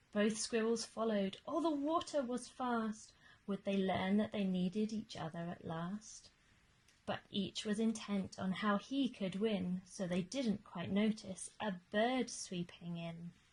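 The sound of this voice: With a slightly mellow tone, a woman speaks at a slow pace and medium pitch, with ordinary pitch variation.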